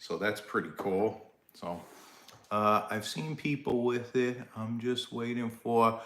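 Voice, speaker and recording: Speaking at a very slow pace, a man with a medium pitch and a New York accent keeps his intonation fairly even. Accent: Brooklyn, Staten Island. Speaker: live stream host, less-lethal gear seller. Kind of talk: casual live-stream chat. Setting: live stream. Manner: casual, halting with fillers.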